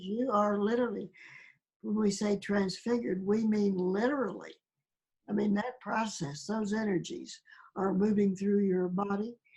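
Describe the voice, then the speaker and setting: A somewhat breathy woman with medium pitch and a dark, mellow tone talks at a moderate pace. Her pitch varies in an ordinary way and her loudness stays very even. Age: 80s+. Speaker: spiritual awakening experiencer. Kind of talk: interview.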